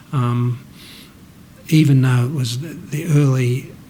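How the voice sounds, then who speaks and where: A man speaks at medium pitch and a fairly slow pace with fairly even intonation. Noticeable background noise and audible room echo surround him. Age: 60s. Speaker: interviewee sharing mental health story. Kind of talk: personal testimony. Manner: halting, with many false starts.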